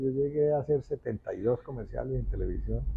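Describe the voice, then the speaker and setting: A man talks at a very fast pace. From Colombia, Manizales (paisa region). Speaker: actor. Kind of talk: interview.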